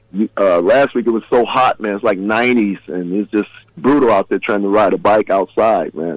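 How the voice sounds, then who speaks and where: The delivery is very fast, with ordinary pitch variation. The sound is dry and close, with no echo. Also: man. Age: 60s. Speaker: drummer and guitarist. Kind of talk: casual interview chat.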